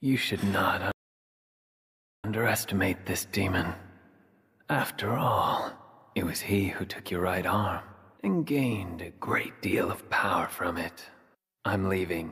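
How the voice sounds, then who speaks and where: A raspy, put-on character voice talks at a fairly slow pace with long, frequent pauses. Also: man. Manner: cold, curt.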